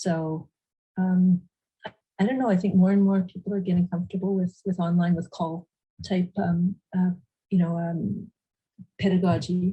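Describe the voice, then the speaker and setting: A woman's medium-pitched, somewhat breathy voice with a dark, mellow tone, monotone, flat intonation, a moderate pace and long, frequent pauses. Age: 60s. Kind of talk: panel discussion. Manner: halting.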